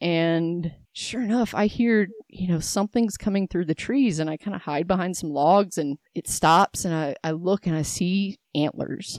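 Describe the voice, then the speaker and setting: This woman talks at a fairly slow pace in a fairly low pitch, with ordinary pitch variation. The sound is dry and close with no echo, and the recording is very clean over a silent background. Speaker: hunter. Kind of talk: casual interview chat. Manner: rambling, wandering.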